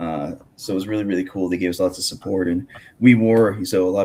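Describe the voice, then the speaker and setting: Mumbling at a fairly quick pace, a man speaks with a fairly low pitch and a dark, mellow tone. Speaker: podcast host and grappling commentator. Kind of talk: casual interview chat. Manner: halting, many fillers.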